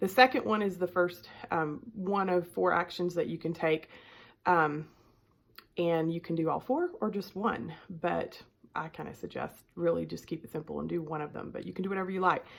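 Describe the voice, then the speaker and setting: Heard on a very clean recording with a silent background, this speaker has a strong Southern US accent, vocal fry, ordinary pitch variation and big swings in loudness. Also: woman, fairly low pitch for a woman, moderate pace. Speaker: life coach. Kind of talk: self-help talk to camera. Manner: casual with many filler ums.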